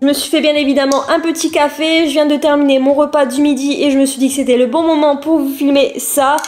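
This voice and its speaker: Over noticeable background noise, the speaker moves at a fairly quick pace with hardly any pauses and a monotone, flat intonation. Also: woman, high pitch for a woman. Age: 20s. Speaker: YouTuber. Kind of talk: personal vlog testimony. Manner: casual, hesitant with many fillers.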